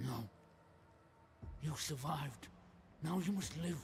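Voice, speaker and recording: A man's put-on character voice, fairly high in pitch and fairly slow, over clear background noise. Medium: video game.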